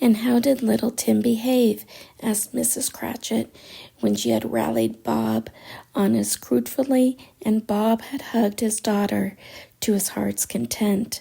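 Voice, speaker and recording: A woman speaks in a soft-spoken way. Her pace is fairly slow. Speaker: audiobook narrator. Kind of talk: sleep story. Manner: soothing, soft-spoken.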